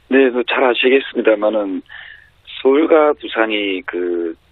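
Very slowly, a man at a medium pitch speaks with lively intonation. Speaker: politician. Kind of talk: interview. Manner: halting, many fillers.

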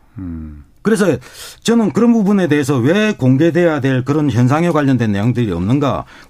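Fairly high-pitched male voice with a dark, mellow tone, very wide pitch swings and a moderate pace. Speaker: nuclear safety researcher. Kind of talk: expert interview.

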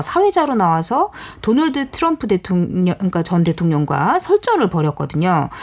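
Her pitch rises and falls very widely as the woman talks at a moderate speed. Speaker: writer. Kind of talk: radio talk show discussion. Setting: studio.

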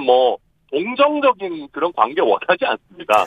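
This man's voice sits high in pitch and makes very wide pitch swings. He speaks at a moderate pace. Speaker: politician. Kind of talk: phone interview. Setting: phone call from a moving train. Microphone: poor phone line, connection dropped.

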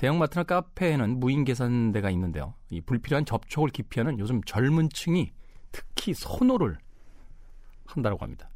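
A man with a medium-pitched voice talks at a moderate pace, his pitch swinging very widely. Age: middle-aged. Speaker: radio host. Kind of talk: casual radio monologue.

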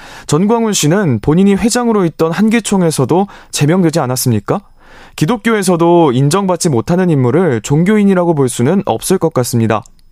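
A man's high-pitched, dark and mellow voice at a fairly quick pace, with very wide pitch swings and very even loudness, dry and close with no echo, on a very clean recording with a silent background. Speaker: text message reader on radio. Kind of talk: reading aloud listener messages. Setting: radio studio.

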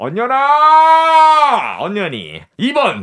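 On a very clean recording with a silent background, the voice carries a bright, sharp, energetic tone. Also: man. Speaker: actor, quiz co-presenter. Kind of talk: radio quiz segment.

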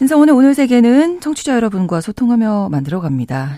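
A man talks at a fairly quick pace in a dark, mellow tone with very wide pitch swings. The recording is very clean, with a silent background. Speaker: radio announcer. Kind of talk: radio news talk show. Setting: studio.

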